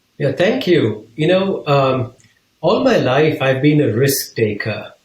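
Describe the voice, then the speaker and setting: The voice is somewhat breathy, with lively intonation. It moves at a very slow pace. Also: man, fairly high pitch for a man. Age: 60s. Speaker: business leader and author. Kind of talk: interview.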